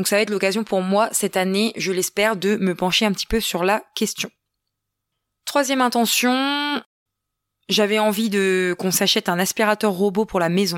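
At medium pitch with ordinary pitch variation, a woman speaks at a moderate pace and very even loudness, leaving long, frequent pauses. The recording is very clean, with a silent background. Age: 30s. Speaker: podcaster, entrepreneur and mother. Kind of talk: casual solo podcast monologue. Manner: chatty with laughs and hesitations.

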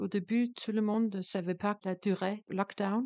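The speaker has a Danish accent and a dark, mellow tone. Delivery is fairly slow, with a dry, close sound and no echo. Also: woman. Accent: Danish accent, sing-song. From Denmark. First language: Danish (speaking French). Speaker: composer and performer. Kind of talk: interview. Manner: halting, non-native French.

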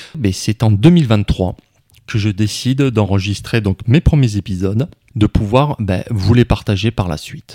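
In a dry, close sound with no echo, a man talks at a fairly slow pace with a fairly low pitch, a dark, mellow tone and ordinary pitch variation. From southwest France (Tarn, Castres). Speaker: podcast host. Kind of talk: personal monologue.

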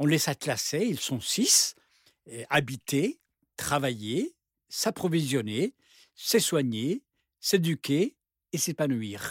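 Very slow pace from a man at a fairly high pitch, very wide pitch swings, long and frequent pauses, a dry close sound with no echo, and a very clean recording over a silent background. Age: 60s. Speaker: university professor, urban planning expert. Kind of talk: panel discussion.

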